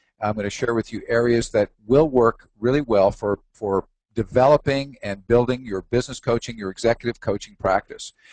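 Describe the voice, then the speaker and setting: At a moderate pace, a man with a medium pitch and ordinary pitch variation is heard in a dry, close sound with no echo. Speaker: executive coach and trainer. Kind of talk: webinar presentation. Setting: webinar broadcast. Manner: enthusiastic.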